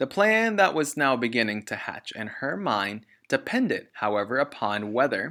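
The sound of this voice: The reading voice here is unforced.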